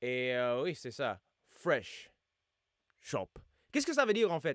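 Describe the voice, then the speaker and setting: A man's voice on a very clean recording, silent background, with a dry, close sound and no echo. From United States. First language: English (speaking French). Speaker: YouTuber and rapper reacting to music. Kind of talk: casual reaction video. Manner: halting, many hesitations.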